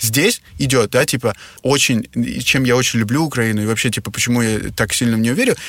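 This man has a normal speaking voice, medium in pitch with ordinary pitch variation. He talks at a fairly quick pace with very even loudness. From Russia. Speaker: hotel entrepreneur. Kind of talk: interview.

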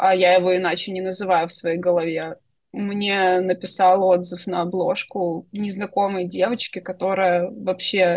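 In an unremarkable speaking voice, a woman talks at a fairly slow pace and medium pitch with fairly even intonation. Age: 30s. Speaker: science fiction writer and UX designer. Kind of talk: interview. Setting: internet call.

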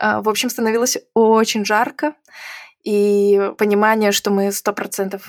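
Recorded with a dry, close sound and no echo, a woman with an unremarkable speaking voice and medium pitch speaks at a fairly slow pace. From Belarus. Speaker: IT event organizer. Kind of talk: interview conversation.

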